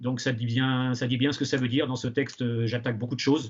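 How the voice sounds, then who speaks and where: This man's voice sits at a medium pitch, and his intonation stays monotone and flat. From western France, Angers area. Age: 60s. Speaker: retired teacher and novelist. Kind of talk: interview. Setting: outdoors. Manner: halting, many hesitations.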